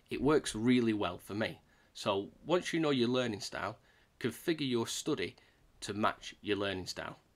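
Here a man speaks with a British accent. His pace is moderate. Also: medium pitch for a man. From UK. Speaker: YouTuber teaching Salesforce certification. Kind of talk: tutorial. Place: home room.

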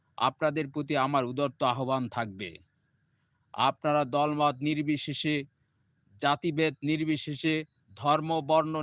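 This man's voice sits fairly high, and his intonation stays fairly even. The sound is dry and close with no echo, in a very clean recording with a silent background. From Bangladesh. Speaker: livestreamer. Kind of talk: political speech. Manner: impassioned; halting.

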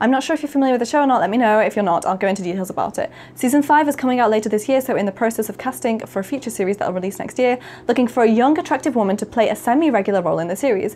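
Very fast and lively in intonation, the speech comes over light background noise. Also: woman, fairly high pitch for a woman. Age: 20s. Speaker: YouTuber; video creator. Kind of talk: casual monologue to camera.

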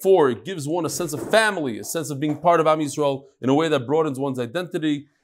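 Against light background noise, a man speaks at a very fast pace. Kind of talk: reading an email aloud to a class. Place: hall.

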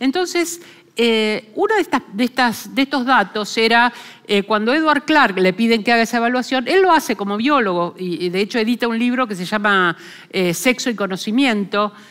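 A woman with a fairly high pitch and lively intonation talks at a moderate pace. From Argentina. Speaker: philosopher; lecturer. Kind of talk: lecture. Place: hall. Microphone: headset.

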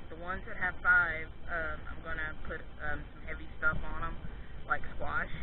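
The speech comes at a very slow pace, with a dry sound with no echo and noticeable background noise. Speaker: home gardener vlogger. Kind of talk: casual vlog chat. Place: garden. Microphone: phone near.

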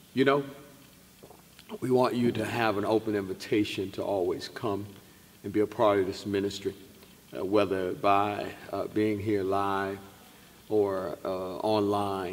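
Speaking fairly slowly with long, frequent pauses, a man uses a fairly low pitch and fairly even intonation. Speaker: pastor. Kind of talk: broadcast welcome address. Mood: warm, grateful. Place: church.

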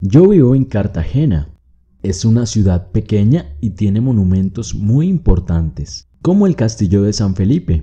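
With a dark, mellow tone and a somewhat breathy sound, a man speaks fairly slowly at a fairly low pitch, his pitch swinging very widely. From Colombia, Bogotá. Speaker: Spanish teacher. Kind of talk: reading aloud; tutorial. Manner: clear, slow.

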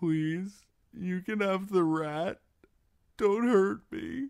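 A put-on character voice at middle pitch and a very slow pace. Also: very clean recording, silent background. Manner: pleading, fearful.

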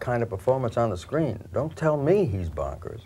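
A man's lively intonation comes through a somewhat breathy voice. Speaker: film actor, guest. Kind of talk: interview answer.

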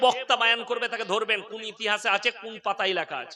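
With a raised, projected voice, a man talks at a high pitch, his pitch varying in an ordinary way. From West Bengal, Bardhaman district. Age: 30s. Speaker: Islamic preacher. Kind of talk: sermon.

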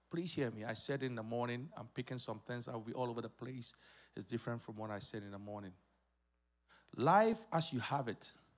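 There is a man speaking with long, frequent pauses. His pitch variation is ordinary, over a quiet background. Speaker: pastor. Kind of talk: sermon. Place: church. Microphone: handheld.

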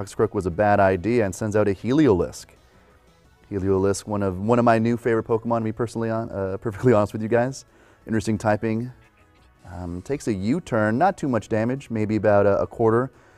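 A man's fairly low voice at a very fast pace, with ordinary pitch variation and music in the background. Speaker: Pokemon event commentator auditionee. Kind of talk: esports match commentary.

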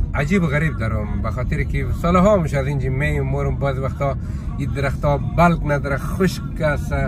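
A man speaks at a fairly slow pace. The sound is dry with no echo, and music plays clearly in the background. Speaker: vlogger driving. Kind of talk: casual vlog chat. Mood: nostalgic, relaxed. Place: car. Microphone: phone near.

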